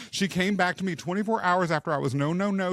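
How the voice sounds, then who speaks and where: A man speaks loudly in a high voice. The sound is dry and close, with no echo. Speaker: podcast host and leadership coach. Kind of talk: casual interview chat. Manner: loud, boisterous.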